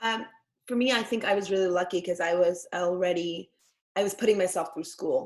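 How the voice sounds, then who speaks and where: A woman's medium-pitched voice with ordinary pitch variation, at a fairly quick pace. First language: Yiddish. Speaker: actress and former ultra-Orthodox community member. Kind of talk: panel discussion.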